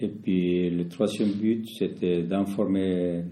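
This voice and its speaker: A man with a Spanish accent speaks in a very deep, low pitch. His tone is dark and mellow, with audible room echo. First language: Spanish (speaking French). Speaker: community association founder. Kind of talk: interview. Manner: halting, many repetitions.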